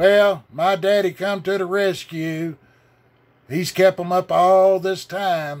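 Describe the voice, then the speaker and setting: Over a silent background in a very clean recording, a man with a Southern US accent speaks very slowly at a high pitch. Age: 60s. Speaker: religious video blogger. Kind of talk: rant. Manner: animated.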